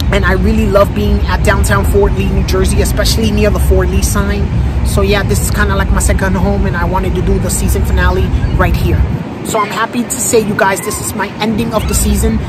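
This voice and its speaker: Music sits in the background as a woman talks at a fairly quick pace. The sound is dry, with no echo. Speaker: vlogger. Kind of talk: casual vlog chat. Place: street. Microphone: phone near.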